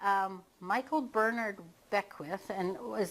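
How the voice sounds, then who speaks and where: In an ordinary speaking voice, a woman talks at a medium pitch with ordinary pitch variation. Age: 60s. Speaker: hypnotherapist. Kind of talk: casual talk to camera. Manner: casual.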